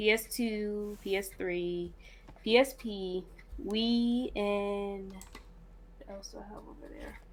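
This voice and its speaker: With an American accent, this speaker talks at a very slow pace with long, frequent pauses, fairly even intonation and big swings in loudness, in a space with audible room echo. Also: woman, medium pitch for a woman. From Cincinnati, Ohio. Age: 20s. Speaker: game developer. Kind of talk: interview. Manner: hesitant, many fillers.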